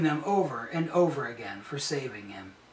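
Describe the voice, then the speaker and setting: A man talks at a moderate pace and a high pitch, with ordinary pitch variation. Audible room echo surrounds his voice. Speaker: storyteller. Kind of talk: reading a story aloud. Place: home room. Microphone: camera far.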